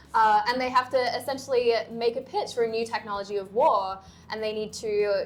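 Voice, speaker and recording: A woman with an Australian accent and a fairly high pitch speaks at a fairly quick pace with fairly even intonation. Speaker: university lecturer. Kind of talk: casual panel discussion.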